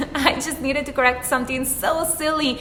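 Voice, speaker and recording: A woman with an Italian accent and high pitch speaks at a fairly quick pace in a raised, projected voice, with noticeable background noise and audible room echo. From Italy. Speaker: YouTuber, life and career advice. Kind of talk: vlog advice talk.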